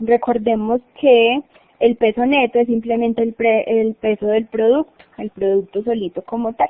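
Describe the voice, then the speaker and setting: Speaking at a fairly slow pace, a woman keeps a fairly high pitch and fairly even intonation. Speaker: instructor. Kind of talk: online lecture. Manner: stumbling over words.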